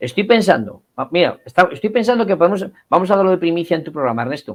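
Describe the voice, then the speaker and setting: A man with a fairly high voice speaks at a fairly quick pace. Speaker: cultural association representative. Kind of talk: interview. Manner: animated.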